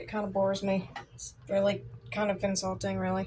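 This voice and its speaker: A woman is speaking. Her voice has a somewhat breathy quality. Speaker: crafter demonstrating resin art. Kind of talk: craft tutorial. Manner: casual, chatty.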